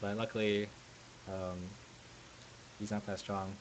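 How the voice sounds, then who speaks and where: A man's fairly low-pitched mumbling. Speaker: fighting game player. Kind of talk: gameplay commentary. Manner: mumbling, hesitant.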